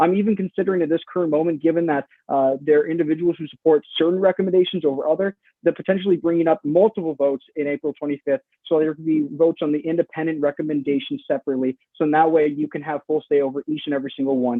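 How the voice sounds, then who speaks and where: A man's fairly high voice at a very fast pace with ordinary pitch variation. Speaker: student senator presenting resolution. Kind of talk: formal meeting debate.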